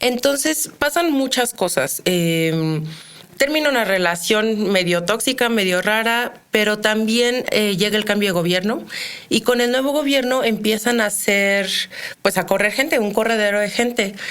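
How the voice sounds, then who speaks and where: Her intonation lively, a woman with a fairly high pitch talks at a fairly slow pace. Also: very even loudness. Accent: central Mexican. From Mexico, Querétaro. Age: 30s. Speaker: criminologist. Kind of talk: interview.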